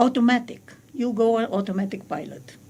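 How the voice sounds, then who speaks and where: A woman talks at a fairly slow pace. Her voice is fairly high, with a non-native accent. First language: not English. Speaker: spiritual teacher. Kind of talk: radio interview. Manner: halting.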